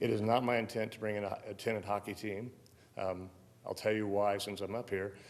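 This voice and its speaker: Amid audible room echo, a man with a fairly low pitch talks at a fairly quick pace in a monotone, flat intonation. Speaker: event center manager. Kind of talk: public meeting testimony. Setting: city council chamber. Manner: direct; halting.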